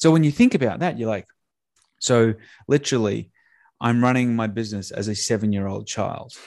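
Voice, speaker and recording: At a moderate pace and medium pitch, a man talks with ordinary pitch variation against a quiet background. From Australia. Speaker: sales and marketing entrepreneur. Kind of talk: podcast interview. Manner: animated.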